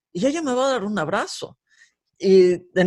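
A man at high pitch and a moderate pace against a quiet background. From Mexico, Guadalajara. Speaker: former worship leader. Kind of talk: casual interview. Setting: video call.

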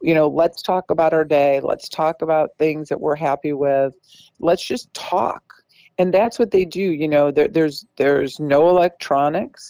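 A woman's very deep, low voice with a dark, mellow tone, in a very clean recording with a silent background and a dry, close sound with no echo. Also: ordinary pitch variation, moderate pace. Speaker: state politician. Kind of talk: interview.

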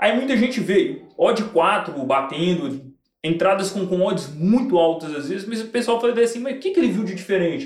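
A man speaks at a high pitch and a moderate pace with lively intonation. Audible room echo is present. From Belo Horizonte, Brazil. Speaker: sports betting tipster and entrepreneur. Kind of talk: casual interview chat. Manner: slangy, street-style casual speech.

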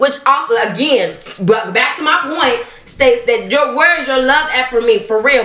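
A woman with a high pitch and lively intonation is heard with audible room echo and noticeable background noise. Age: 30s. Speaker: podcast co-host. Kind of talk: casual chat.

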